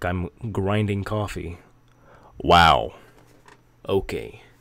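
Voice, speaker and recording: A man talks at a very slow pace with a very deep, low pitch. He leaves long, frequent pauses. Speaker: gaming YouTuber. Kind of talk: bloopers outtakes; video game guide. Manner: rambling, hesitant with fillers; stumbles over words.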